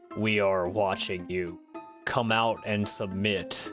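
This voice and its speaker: A man does a put-on character voice at a fairly low pitch and fairly slow pace. Clear music plays in the background. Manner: angry, commanding.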